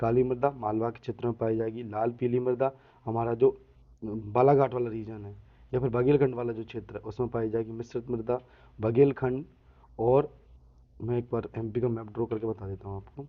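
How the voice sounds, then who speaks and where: A man at medium pitch, monotone and flat in intonation. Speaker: exam-prep teacher. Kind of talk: lecture. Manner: slow.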